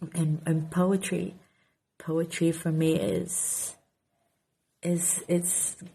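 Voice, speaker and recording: In a Portuguese accent, a woman speaks at a very slow pace with a fairly low, dark and mellow voice that is somewhat breathy and has monotone, flat intonation. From Portugal. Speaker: author and content creator. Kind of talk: casual Q&A vlog. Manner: halting, repeats words.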